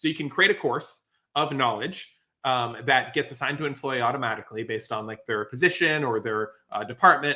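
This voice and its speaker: Speaking at a fairly quick pace with an American accent, a man keeps a medium pitch and ordinary pitch variation in a bright, sharp, animated tone. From US. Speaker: musician and software business owner. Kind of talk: casual interview. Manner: animated, explanatory with fillers.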